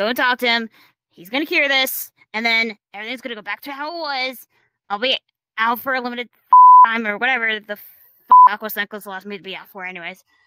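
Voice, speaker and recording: The speaker uses a put-on character voice at a very fast pace. Long pauses come often. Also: female-sounding voice, fairly high pitch for a woman. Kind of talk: roleplay monologue. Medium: machinima. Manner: swearing, agitated. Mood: anxious, rambling.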